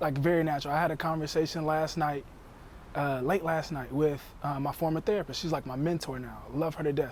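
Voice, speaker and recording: Speaking at a fairly quick pace, a man uses a fairly high pitch with fairly even intonation. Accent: Southern US. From US South. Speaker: podcast guest. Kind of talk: casual chat.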